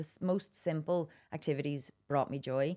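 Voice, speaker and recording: A woman speaks with a Donegal accent in a very deep, low voice, recorded very cleanly against a silent background. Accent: Donegal Irish. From Ireland, Dublin then Wicklow and Donegal. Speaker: adventurer and campaigner. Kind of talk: podcast interview.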